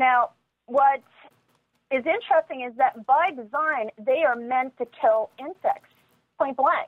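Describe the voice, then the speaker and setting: A woman with an American accent speaks fairly slowly in a high pitch, leaving long, frequent pauses. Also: ordinary pitch variation. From New York, Long Island. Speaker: environmental advocate and radio producer. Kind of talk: interview.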